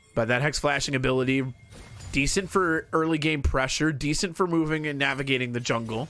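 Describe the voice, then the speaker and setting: A man's fairly high pitch at a fairly quick pace, with ordinary pitch variation and music in the background. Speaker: League of Legends shoutcaster. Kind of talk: esports shoutcasting demo, play-by-play commentary. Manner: fast-paced, energetic.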